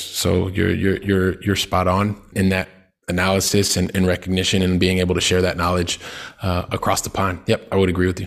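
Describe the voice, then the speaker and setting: The delivery is monotone and flat, at a fairly quick pace. It carries a Midwestern American accent. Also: man. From US Midwest, Columbus, Ohio. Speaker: real estate investor. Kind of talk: interview. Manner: halting, many fillers.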